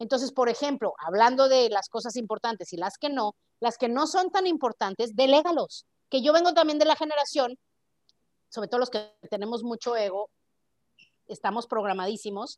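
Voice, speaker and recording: A woman's high-pitched voice with lively intonation at a moderate pace, in a dry, close sound with no echo. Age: 40s. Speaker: podcast host. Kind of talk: casual chat.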